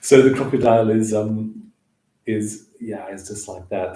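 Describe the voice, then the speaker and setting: A man speaks with a dark, mellow tone that is somewhat breathy. His intonation stays fairly even, and room echo is audible. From Southern Africa (Namibia, South Africa); born northeast England. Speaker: hand shadow performer. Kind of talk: casual livestream chat with demonstrations.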